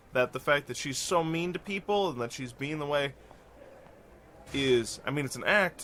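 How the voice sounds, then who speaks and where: With music in the background, this man talks in a lively intonation. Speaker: gaming let's play youtuber. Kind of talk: casual game commentary.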